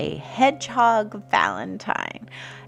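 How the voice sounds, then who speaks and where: A woman speaks in a calm tone. Music plays in the background. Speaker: art teacher. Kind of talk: tutorial. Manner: halting.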